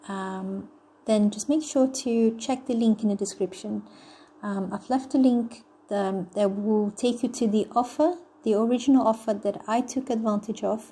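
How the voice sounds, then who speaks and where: A woman's fairly high, somewhat breathy voice with a dark, mellow tone at a moderate pace. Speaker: online money-making promoter. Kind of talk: sales pitch. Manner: low-energy, flat; hesitant, many fillers.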